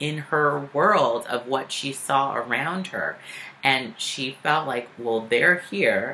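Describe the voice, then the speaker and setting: Light background noise is audible. The intonation is lively. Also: woman. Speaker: vlogger. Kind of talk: casual vlog chat. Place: home room. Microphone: webcam.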